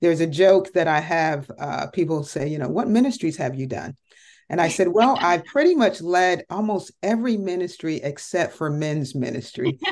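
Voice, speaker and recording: Over a quiet background, a plain, everyday voice with an American accent speaks with lively intonation. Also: woman, fairly low pitch for a woman, moderate pace. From Connecticut, US. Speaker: entrepreneur and ministry leader. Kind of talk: interview testimony.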